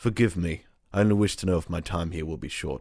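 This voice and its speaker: A man puts on a raspy character voice, very deep and low. He delivers it at a very fast pace. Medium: read story.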